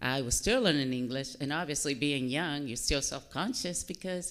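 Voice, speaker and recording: The woman talks at a fairly quick pace. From Dominican Republic, then Massachusetts from age nine. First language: Spanish. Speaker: army helicopter pilot, military officer. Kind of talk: interview at a public fireside chat.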